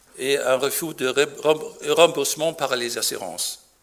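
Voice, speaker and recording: Speaking very slowly, a man talks with a German accent. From Germany. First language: German (speaking French). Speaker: physician. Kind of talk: conference talk. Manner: halting.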